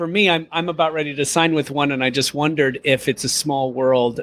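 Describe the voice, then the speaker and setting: A man with an American accent, an ordinary speaking voice, moderate pace and ordinary pitch variation. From US Midwest. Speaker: podcast co-host and actor. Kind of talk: casual interview chat.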